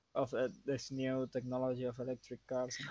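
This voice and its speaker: A man talks with a Spanish accent. His pitch is fairly high. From Canary Islands, Spain. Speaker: photographer and filmmaker. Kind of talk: casual chat. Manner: halting.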